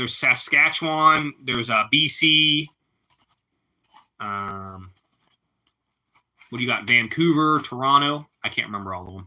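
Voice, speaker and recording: A man with a Pittsburgh accent, medium pitch and a bright, sharp tone, with lively intonation, big swings in loudness, a fairly slow pace and long, frequent pauses, on a very clean recording with a silent background. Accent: Pittsburghese. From Pittsburgh, Pennsylvania. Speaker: live streamer. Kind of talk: casual chat.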